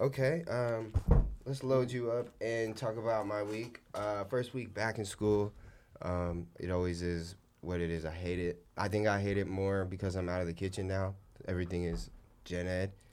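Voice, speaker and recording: A man with an ordinary speaking voice talks at a moderate pace, his pitch fairly low with ordinary pitch variation. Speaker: podcast host. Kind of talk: casual chat. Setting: studio.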